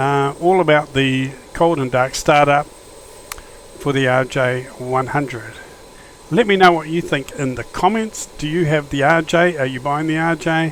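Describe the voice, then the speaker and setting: With noticeable background noise behind him, a man speaks in an Australian accent at a fairly high pitch. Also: ordinary pitch variation, moderate pace. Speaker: flight simulator YouTuber. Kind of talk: gameplay commentary. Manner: casual, hesitant with fillers.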